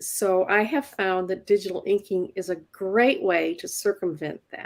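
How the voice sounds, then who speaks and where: A woman speaks in an ordinary speaking voice at a fairly slow pace. Her pitch variation is ordinary. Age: 60s. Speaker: comic book inker. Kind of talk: tutorial.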